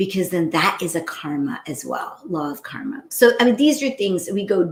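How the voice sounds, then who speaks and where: A woman talks at a moderate pace and a medium pitch. Her pitch moves in very wide swings. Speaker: spiritual teacher. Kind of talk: live-stream spiritual talk. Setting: live stream. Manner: loud voice.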